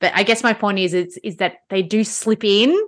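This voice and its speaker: With an Australian accent, a woman speaks at a moderate pace with fairly even intonation against a quiet background. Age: 40s. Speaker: podcast host and fitness studio owner. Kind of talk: casual interview.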